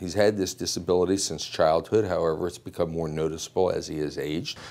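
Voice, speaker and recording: Very fast and very deep, a man's voice moves with fairly even intonation. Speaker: advocate for the detective. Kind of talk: interview answer. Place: office. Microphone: lapel.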